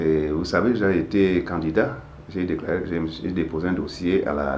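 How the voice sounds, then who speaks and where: A man with a very deep, low pitch over noticeable background noise. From Cameroon. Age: 60s. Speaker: writer and civil rights activist. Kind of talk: interview answer.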